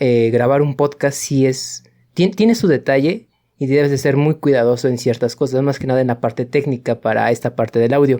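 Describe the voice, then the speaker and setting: Here a man speaks in a dark, mellow tone. The recording is very clean, the background silent. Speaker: podcast co-host, university student. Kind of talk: casual chat.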